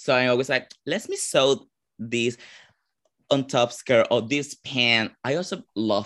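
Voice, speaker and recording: In a very clean recording with a silent background, a man speaks at a fairly slow pace with a Venezuelan accent. His tone is bright and sharp, and his intonation is lively. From Venezuela, Caracas. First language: Spanish. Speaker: drag performer. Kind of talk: interview.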